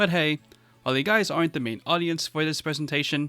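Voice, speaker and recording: At a fairly quick pace, a man speaks with a fairly high pitch and a bright, sharp tone. The sound is dry and close with no echo, in a very clean recording with a silent background. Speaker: YouTuber. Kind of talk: presentation. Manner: scripted, spliced reading.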